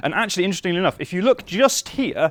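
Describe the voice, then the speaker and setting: Talking at a very fast pace in a northern English accent, a man comes across with a dry, close sound and no echo. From northern England. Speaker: software engineer. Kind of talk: conference talk. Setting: stage with audience.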